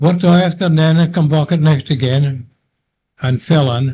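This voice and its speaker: A man speaks in a somewhat breathy voice. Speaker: war veteran; lifeboat coxswain. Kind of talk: oral history recollection. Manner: hesitant, conversational.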